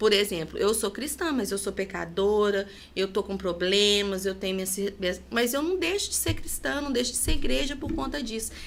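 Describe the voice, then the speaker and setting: A woman's voice with vocal fry. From Minas Gerais, Brazil (Leopoldina). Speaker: podcast guest. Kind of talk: interview conversation, personal testimony.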